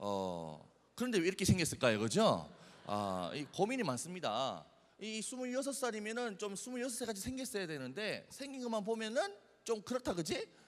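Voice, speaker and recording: Someone talks at a moderate pace in an animated tone, with audible room echo around the voice. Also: man. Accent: Busan. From South Korea, Busan. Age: 20s. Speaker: youth speaker. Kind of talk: sermon.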